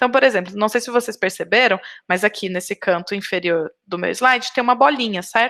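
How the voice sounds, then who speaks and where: Her tone bright and sharp, a woman talks at a fairly quick pace with a fairly high pitch and ordinary pitch variation. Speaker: biology researcher and lecturer. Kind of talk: lecture. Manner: fast.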